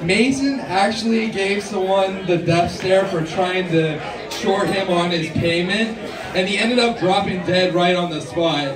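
The pace is fairly slow. Noticeable background noise runs underneath. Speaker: stand-up comedian. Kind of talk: stand-up comedy set of scripted-sounding jokes and punchlines. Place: stage.

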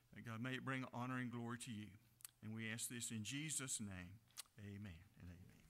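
A man's voice at a fairly quick pace with ordinary pitch variation. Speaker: pastor leading prayer. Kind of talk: prayer. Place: church. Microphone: podium.

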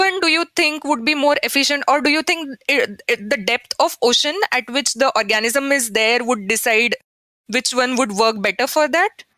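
In a dry, close sound with no echo, a woman uses a raised, projected voice at a high pitch and a fairly slow pace. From India. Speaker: podcast host, postdoctoral researcher. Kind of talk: interview.

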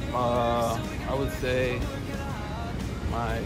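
Loud music plays behind a man as he speaks. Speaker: interviewee. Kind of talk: casual vlog chat. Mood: relaxed, playful. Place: street.

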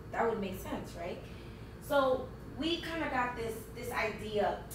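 Noticeable background noise fills the recording. The woman's voice carries audible room echo. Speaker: conference presenter. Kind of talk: conference presentation. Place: meeting room. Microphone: camera far.

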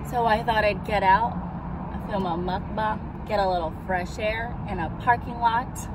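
Someone talks at a fairly slow pace over loud background noise, with a dry sound and no echo. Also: woman. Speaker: vlogger. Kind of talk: casual vlog chat. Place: car. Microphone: phone near.

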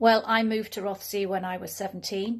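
Over a quiet background, a woman speaks. Her intonation is monotone and flat. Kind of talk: personal story to camera. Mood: calm, earnest. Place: home room. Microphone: phone near.

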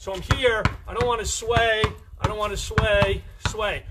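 Loud background noise behind a man's fairly slow pace. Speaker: basketball coach. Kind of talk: live-streamed coaching workout, barking out drill cues and counting time. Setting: Facebook Live stream. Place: garden. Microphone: phone near.

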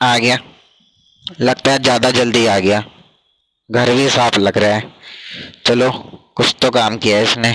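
A man uses a raspy put-on character voice at medium pitch, with monotone, flat intonation and very even loudness. His pace is moderate, broken by long, frequent pauses. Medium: cartoon. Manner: grumbling, evasive, comic.

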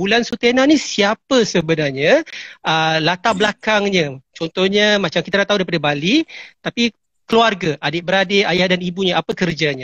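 The speaker, with a Malaysian accent, talks at a fairly quick pace with lively intonation and very even loudness. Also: man, high pitch for a man. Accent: Malaysian Malay. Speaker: entertainment show host. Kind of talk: live interview. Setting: Instagram live video call.

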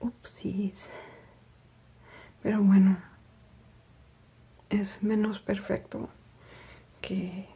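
Soft-spoken and at a very slow pace, the speaker leaves long, frequent pauses. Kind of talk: ASMR craft narration. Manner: soft-spoken, quiet.

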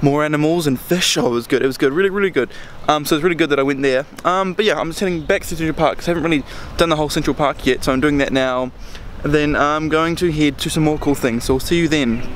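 Speaking at a very fast pace, a man shows ordinary pitch variation in a dry recording with no echo and light background noise. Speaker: travel vlogger. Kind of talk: casual vlog chat. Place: open country. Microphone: phone near.

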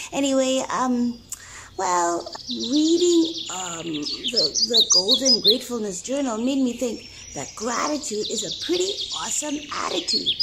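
A female-sounding cartoonish character voice with a bubbly tone comes through loud background noise. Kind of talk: comedic vlog-style puppet monologue. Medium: puppet show. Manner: bubbly, excitable.

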